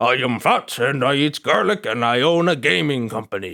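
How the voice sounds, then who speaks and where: A man's put-on character voice at medium pitch and moderate pace, in a very clean recording with a silent background. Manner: silly, exaggerated.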